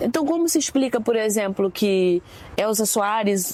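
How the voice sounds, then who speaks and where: The voice belongs to a woman. Noticeable background noise runs underneath it. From Brazil, Rio de Janeiro suburbs (Realengo). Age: 40s. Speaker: singer and composer. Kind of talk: public conversation on campus.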